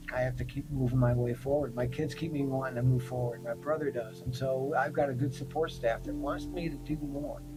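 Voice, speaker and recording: A man's medium-pitched voice with an American accent, fairly even intonation, a fairly quick pace and hardly any pauses, plus background music and audible room echo. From Michigan. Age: 60s. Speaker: formerly incarcerated resident. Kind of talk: interview testimony.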